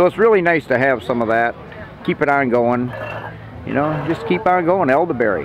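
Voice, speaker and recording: Light noise sits behind a man talking at a fairly quick pace. The sound is dry, with no echo. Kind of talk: interview answer, storytelling. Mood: warm, nostalgic. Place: market.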